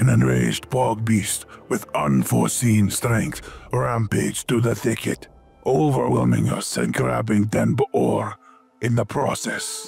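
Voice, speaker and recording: Putting on a raspy character voice, a man speaks at a fairly slow pace with faint music in the background. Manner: dignified, measured.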